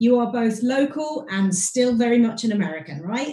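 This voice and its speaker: Her pitch is fairly high and swings very widely. The woman speaks at a moderate pace with a British accent. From Britain. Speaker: podcast host. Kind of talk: podcast interview.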